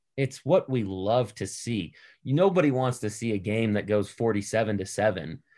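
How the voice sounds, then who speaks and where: An unremarkable speaking voice from a man with an American accent, fairly low in pitch with ordinary pitch variation, at a fairly slow pace over a quiet background. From Boston, US. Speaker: entrepreneur and investor. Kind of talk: casual interview.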